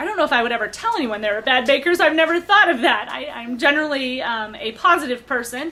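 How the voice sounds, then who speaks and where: A woman's raised, projected voice, high in pitch, racing at a very fast pace with very wide pitch swings over noticeable background noise. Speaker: baking show applicant. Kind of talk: audition interview. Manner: hesitant, many fillers.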